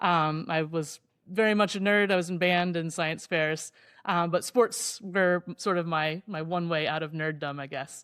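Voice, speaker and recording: This woman has a plain, everyday voice with an American accent and a fairly low pitch. She speaks at a fairly slow pace on a very clean recording with a silent background. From Indiana, US Midwest. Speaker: professor and ocean rower. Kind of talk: interview storytelling.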